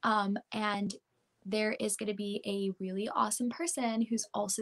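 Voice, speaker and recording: Somewhat breathy and fairly high, a woman's voice moves at a fairly slow pace with an American accent. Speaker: pop country singer. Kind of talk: interview.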